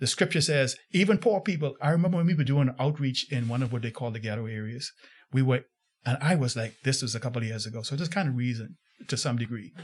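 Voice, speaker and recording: Lively intonation runs through a man's very fast speech. There is a somewhat breathy quality to it. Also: medium pitch for a man. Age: 60s. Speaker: pastor. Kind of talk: interview.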